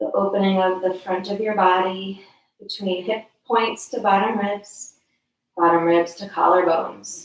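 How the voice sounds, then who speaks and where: With fairly even intonation and a moderate pace, a woman speaks at medium pitch in an unremarkable speaking voice. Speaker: yoga teacher. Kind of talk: guided yoga class. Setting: friend's house.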